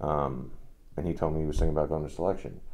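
With vocal fry and a dark, mellow tone, a man talks at a moderate pace in a monotone, flat intonation. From New Jersey, moved from Russia at five. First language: Russian. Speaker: Green Beret soldier; podcast guest or host. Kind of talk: casual chat. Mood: relaxed, recounting memories. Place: studio.

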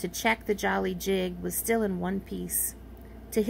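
The clip is plain reading aloud.

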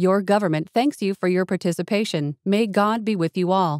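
A woman uses a plain, everyday voice at medium pitch and a moderate pace. The recording is very clean with a silent background, and the sound is dry and close with no echo. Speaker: voice actor. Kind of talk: emergency broadcast announcement. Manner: formal, authoritative.

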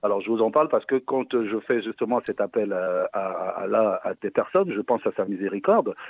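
Dry, with no echo, a man's voice runs at a fairly quick pace with hardly any pauses. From West Africa. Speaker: caller. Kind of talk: phone-in question. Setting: phone call. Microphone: phone line.

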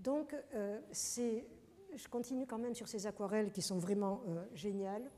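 At a fairly slow pace with long, frequent pauses, a woman speaks in a dark, mellow tone at a fairly high pitch with ordinary pitch variation. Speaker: professor and journal editor, lecturer; professor, lecturer. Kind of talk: lecture. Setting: lecture hall with audience. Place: hall.

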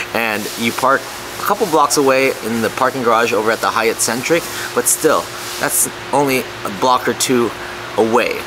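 A man speaks with ordinary pitch variation. Noticeable background noise runs behind him. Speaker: travel vlogger. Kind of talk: casual vlog chat. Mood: relaxed, upbeat. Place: cafe. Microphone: phone near.

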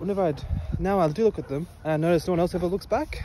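A man talking at a very fast pace, dry sound with no echo, noticeable background noise. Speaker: vlogger. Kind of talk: casual vlog chat. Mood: reflective, a little sad. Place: street. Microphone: earbuds.

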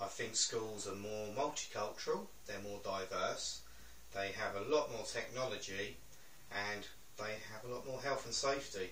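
A man speaks at a moderate pace. Audible room echo and light background noise surround his voice. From England, East Sussex. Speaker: interviewee. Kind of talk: interview. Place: home room.

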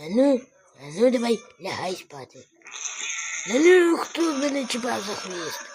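In a put-on character voice, the fairly high pitch makes very wide swings at a moderate pace, broken by long, frequent pauses. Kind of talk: comic dub of animal clips. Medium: voice reel. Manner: playful, exclamatory.

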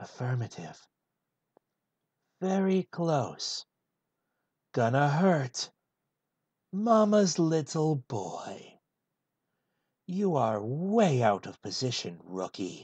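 A put-on character voice at a low-to-middle pitch swings very widely. It moves at a very slow pace with long, frequent pauses. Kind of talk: comedic full script read in a character voice.

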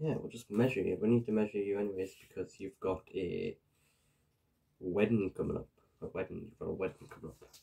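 A soft-spoken man with a Geordie accent, fairly low pitch and a somewhat breathy, dark, mellow tone, talking at a fairly quick pace with fairly even intonation and big swings in loudness, against a quiet background. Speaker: ASMR creator. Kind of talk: ASMR roleplay. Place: home room. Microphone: webcam.

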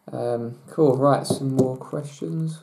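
Very slow pace against a quiet background. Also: man. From England. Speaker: natural bodybuilder; bodybuilder vlogger. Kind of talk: Q&A vlog. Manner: hesitant, many fillers. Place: home room. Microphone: webcam.

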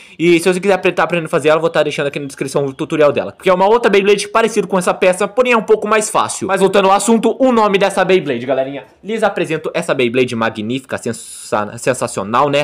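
A man rushes along at a very fast pace with hardly any pauses, his high voice carrying lively intonation. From Brazil. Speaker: YouTuber making homemade Beyblade tutorials. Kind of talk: tutorial; live battle commentary. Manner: animated. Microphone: phone near.

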